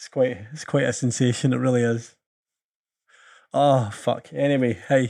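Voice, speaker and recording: In a Scottish accent, a dark, mellow voice moves with fairly even intonation but big swings in loudness, leaving long, frequent pauses on a very clean recording with a silent background. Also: man, medium pitch for a man, moderate pace. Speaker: podcast host. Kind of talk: casual chat.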